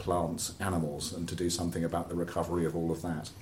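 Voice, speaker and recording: Somewhat breathy speech in a southern English accent moves at a fairly quick pace with audible room echo. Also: man. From southern England, Oxford. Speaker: environmental campaigner. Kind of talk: interview conversation. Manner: halting, repeats words.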